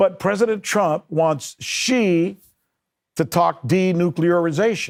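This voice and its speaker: Animated in tone, a man speaks at a high pitch with very wide pitch swings. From United States. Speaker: news show host. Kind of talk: political commentary and interview. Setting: studio.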